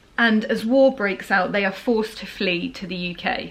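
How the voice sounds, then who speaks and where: With ordinary pitch variation, a woman's fairly high voice comes through over noticeable background noise. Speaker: book reviewer vlogger. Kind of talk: casual vlog talk. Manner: chatty, rambling.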